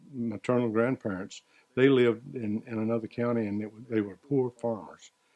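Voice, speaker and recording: A man with a Southern US accent speaks at a moderate pace, with medium pitch and fairly even intonation. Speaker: retiree recounting life story. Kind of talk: interview reminiscence. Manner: halting.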